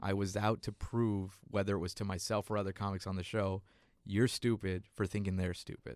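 Recorded very cleanly against a silent background, the voice speaks at a fairly quick pace in a flat monotone. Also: man, fairly low pitch for a man. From South Texas, Mexican-American. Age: 30s. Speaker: stand-up comedian. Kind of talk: casual interview.

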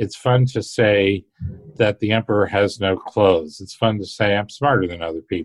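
A man with an ordinary speaking voice talks at a moderate pace, fairly low in pitch with ordinary pitch variation. The sound is dry and close, with no echo. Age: 60s. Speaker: finance researcher and author. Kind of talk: interview.

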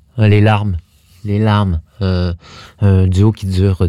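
A man's very deep, low voice at a very slow pace, dark and mellow in tone, dry and close with no echo, on a very clean recording with a silent background. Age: 50s. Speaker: dance company artistic director. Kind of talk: interview. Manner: halting.

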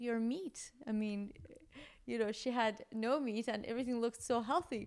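In an ordinary speaking voice, a woman speaks at a moderate pace with a fairly high pitch and ordinary pitch variation. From Iran, moved to US young. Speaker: gastroenterologist. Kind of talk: interview, explaining medical topics. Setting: in person.

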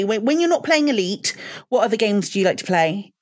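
A woman talks at a very fast pace. She has a British accent. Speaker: podcast co-host. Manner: hesitant, many fillers.

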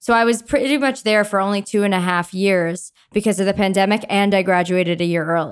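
In a plain, everyday voice, a woman talks at a fairly quick pace with a medium pitch, ordinary pitch variation, very even loudness and hardly any pauses, on a very clean recording with a silent background. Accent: American. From Long Island, New York. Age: 20s. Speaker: singer-songwriter. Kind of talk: casual chat.

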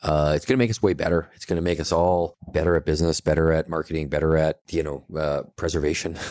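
With a Western Canadian accent, the speaker talks at a very fast pace with hardly any pauses. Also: man, very deep, low pitch for a man. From Canada, Kelowna, British Columbia. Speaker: brewery owner. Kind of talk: casual interview.

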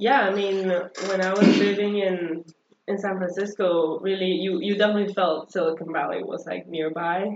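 A woman with a Spanish accent speaks at a medium pitch and a moderate pace, her intonation monotone and flat. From El Salvador. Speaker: podcast guest. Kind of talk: casual conversational.

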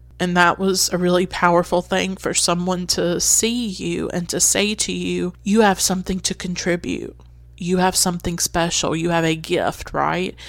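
Her pace is moderate. The woman barely stops for any pauses. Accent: Southern US. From North Carolina, US South. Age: 20s. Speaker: podcast host. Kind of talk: solo personal monologue about films. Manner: reflective, personal, nostalgic.

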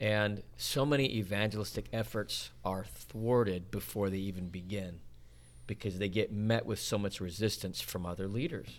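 A man with an American accent and an unremarkable speaking voice talks at a moderate pace, fairly low in pitch with lively intonation. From Utah, Salt Lake City. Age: 40s. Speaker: evangelist. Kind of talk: casual chat.

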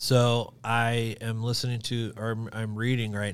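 The recording is very clean, with a silent background. A man with a fairly low pitch and an American accent speaks at a fairly slow pace. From Kansas City area, Missouri. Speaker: video production company founder. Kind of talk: casual interview chat.

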